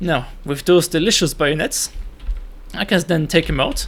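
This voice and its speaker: The man's voice is high-pitched. He keeps a moderate pace. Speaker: gaming tutorial creator. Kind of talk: tutorial. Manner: stuttering; hesitant, many fillers.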